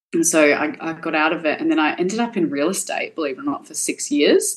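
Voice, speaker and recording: A woman talks at a fairly quick pace. She has an Australian accent. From Perth, Western Australia. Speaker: cosmetic tattoo artist. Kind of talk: casual chat.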